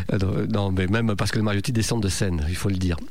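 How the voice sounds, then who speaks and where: Audible room echo surrounds a man as he speaks. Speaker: radio host. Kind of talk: radio show presenting.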